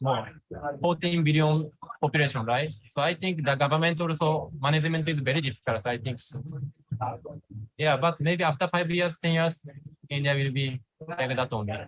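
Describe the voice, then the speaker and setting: A somewhat breathy man speaks with a Japanese accent and ordinary pitch variation. He leaves long, frequent pauses. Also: fairly high pitch for a man, moderate pace. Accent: Japanese accent, non-fluent English. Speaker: vlogger and entrepreneur. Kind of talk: interview. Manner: halting, searching for words.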